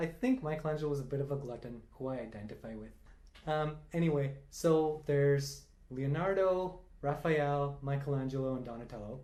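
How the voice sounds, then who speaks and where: Speaking at a moderate pace with fairly even intonation, a man with a fairly high pitch and a dark, mellow tone is heard amid audible room echo. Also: big swings in loudness. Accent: Tamil. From India (Tamil-speaking). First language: Tamil. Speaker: quiz enthusiast. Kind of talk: casual chat.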